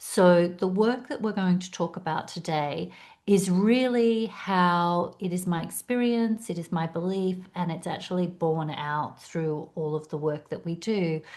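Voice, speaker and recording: A woman with an Australian accent speaks fairly slowly at a fairly low pitch, with ordinary pitch variation, hardly any pauses and a quiet background. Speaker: executive coach and speaker. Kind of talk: webinar presentation.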